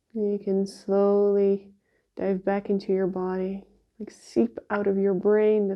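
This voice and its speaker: Very slowly and in a relaxed, calm tone, a woman speaks at a medium pitch with monotone, flat intonation. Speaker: shiatsu practitioner. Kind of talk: guided exercise instruction. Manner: slow, calm and soothing; voice lowered, relaxed.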